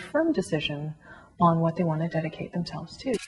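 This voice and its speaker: The woman speaks in a Canadian accent with a fairly low pitch. Her tone is dark and mellow and somewhat breathy. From Canada, Toronto area. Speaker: concert violinist. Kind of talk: interview testimony. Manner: hesitant, many fillers.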